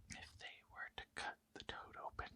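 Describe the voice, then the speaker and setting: Someone whispers at a fairly slow pace. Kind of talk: ASMR folk tale reading. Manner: whispered.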